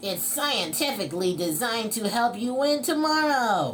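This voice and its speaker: Put-on character voice, female-sounding and fairly high in pitch, over clear background noise. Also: moderate pace. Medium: read story. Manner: energetic, enthusiastic.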